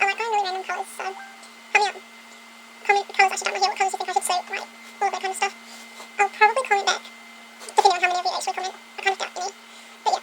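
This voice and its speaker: Against clear background noise, a woman with an extremely high, squeaky voice talks very fast in a monotone, flat intonation, broken by long, frequent pauses. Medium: solo performance. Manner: chatty, rambling, giggly.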